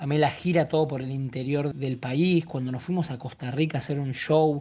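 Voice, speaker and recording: Over a quiet background, a man speaks at a moderate pace and fairly high pitch, his somewhat breathy voice dark and mellow, with fairly even intonation. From Argentina. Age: 30s. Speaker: actor. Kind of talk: casual interview.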